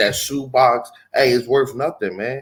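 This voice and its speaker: This man has a plain, everyday voice at a medium pitch. He speaks at a fairly slow pace. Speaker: religious teacher. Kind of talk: religious teaching.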